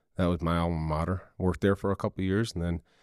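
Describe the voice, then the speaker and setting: Speaking very fast with an American accent, a man has a very deep, low pitch, recorded with dry, close sound and no echo. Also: very clean recording, silent background. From Michigan and South Florida. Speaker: police SWAT commander. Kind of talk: interview about a critical incident.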